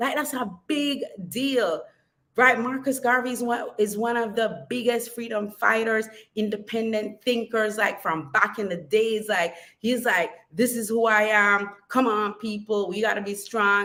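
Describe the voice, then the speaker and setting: At a fairly slow pace, a woman speaks in an animated tone that sounds bright and sharp. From Jamaica. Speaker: model coach, vlogger. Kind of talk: casual vlog monologue.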